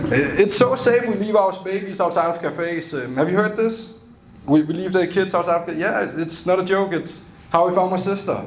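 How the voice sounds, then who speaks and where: With a Danish accent, a man speaks in a high voice at a moderate pace with ordinary pitch variation, amid noticeable background noise and audible room echo. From Denmark. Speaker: stand-up comedian. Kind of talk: stand-up. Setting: stage with audience.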